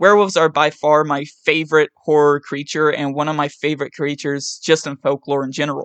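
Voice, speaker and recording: The speaker has an American accent and a fairly quick pace. The background is quiet. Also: hardly any pauses. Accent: West Virginian, comes out at times. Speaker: gaming YouTuber. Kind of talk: scripted commentary. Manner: reads from a script.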